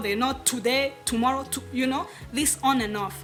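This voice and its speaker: Music plays in the background as a woman with a high pitch speaks at a fairly quick pace, using ordinary pitch variation. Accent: Rwandan. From Rwanda. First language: Kinyarwanda. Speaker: podcaster and author. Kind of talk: casual talk to camera.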